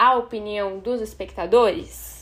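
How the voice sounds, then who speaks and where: A woman's high voice with a Brazilian accent. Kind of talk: scripted narration.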